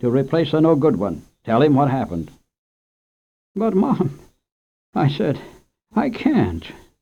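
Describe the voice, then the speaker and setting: A dark, mellow tone with vocal fry, very wide pitch swings, a fairly slow pace and long, frequent pauses. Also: man. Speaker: radio host and storyteller. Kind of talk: children's story reading. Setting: radio studio.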